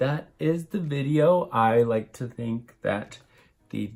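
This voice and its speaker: Quietly, a man whispers over music in the background. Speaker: beauty YouTuber. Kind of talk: makeup tutorial and product review. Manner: casual, chatty; sounds like whispering, quiet.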